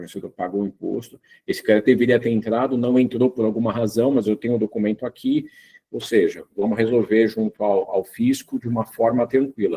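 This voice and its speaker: With a dark, mellow tone and medium pitch, a man speaks in a monotone, flat intonation at a fairly quick pace, the sound dry and close with no echo. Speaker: tax lawyer. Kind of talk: webinar presentation. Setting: video call. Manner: hesitant, many fillers.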